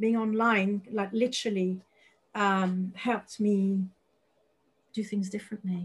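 A woman's somewhat breathy voice at medium pitch, fairly slow and monotone, with flat intonation and long, frequent pauses. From France, Paris. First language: French. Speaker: psychic medium and business coach. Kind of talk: interview chat.

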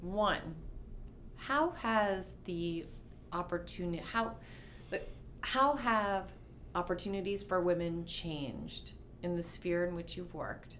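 A woman with an American accent speaks at a fairly slow pace, leaving long, frequent pauses. Her loudness swings a lot, and the room echo is audible. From New York City. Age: 40s. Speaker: podcast host, lawyer. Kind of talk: interview conversation.

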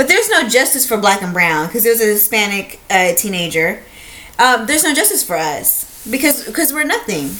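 Against noticeable background noise, a woman with a fairly high pitch moves at a fairly quick pace through very wide pitch swings. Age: 30s. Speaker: podcast co-host. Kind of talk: casual chat.

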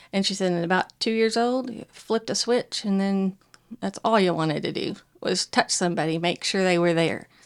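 On a very clean recording with a silent background, a woman with a Southern US accent speaks at a fairly quick pace in a medium pitch with ordinary pitch variation. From US South. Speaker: churchgoer sharing faith story. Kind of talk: testimony.

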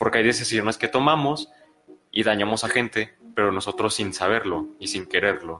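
A man with a Mexican accent speaks at a fairly low pitch. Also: ordinary pitch variation, moderate pace. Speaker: podcast co-host. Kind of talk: casual discussion. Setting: live stream in a room.

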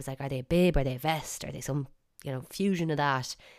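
A woman's very deep, low voice with an Irish accent, very fast pace and ordinary pitch variation. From Ireland. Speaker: podcast host. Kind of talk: casual monologue. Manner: chatty.

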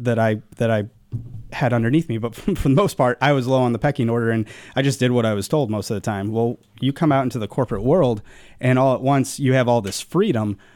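Fast pace, slightly mellow tone and ordinary pitch variation. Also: man, medium pitch for a man.

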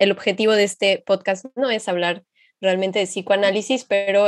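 A woman speaks with music playing in the background. The sound is dry and close, with no echo. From Mexico, Xalapa. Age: 20s. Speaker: psychology master's student, podcast co-host. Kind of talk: casual podcast conversation.

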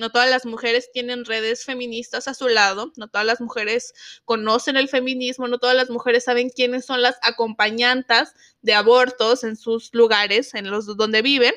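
Over a quiet background, a woman speaks at a high pitch in a bright, sharp tone. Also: moderate pace. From Zacatecas, northern Mexico. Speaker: podcast host, feminist activist. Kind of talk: solo podcast monologue. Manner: animated, passionate.

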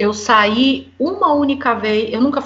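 A woman's voice, lively in intonation, carries a somewhat breathy quality. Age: 40s. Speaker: guest, Brazilian living abroad. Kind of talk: casual chat. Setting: remote recording from home.

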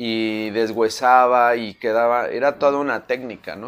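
A man with a medium-pitched voice speaks fairly slowly. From Mexico City. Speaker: chef. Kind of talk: interview. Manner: halting; animated.

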